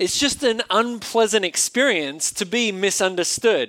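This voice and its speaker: A man speaks at a very slow pace. His tone is bright and sharp. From Australia. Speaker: pastor. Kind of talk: sermon. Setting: church.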